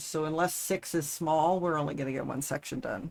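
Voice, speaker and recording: Mumbling in a very deep, low voice with fairly even intonation, a woman is heard on a very clean recording with a silent background. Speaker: livestreamer building a model kit. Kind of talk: casual livestream chat.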